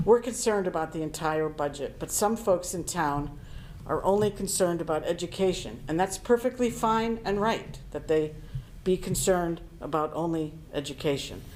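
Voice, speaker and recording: Her ordinary speaking voice sits at a fairly low pitch for a woman, moving at a moderate pace with ordinary pitch variation. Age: 60s. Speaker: town board of finance member. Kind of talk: public meeting statement. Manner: formal.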